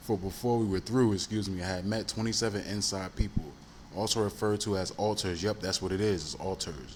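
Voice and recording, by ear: Reading aloud in a natural voice, in fairly even intonation.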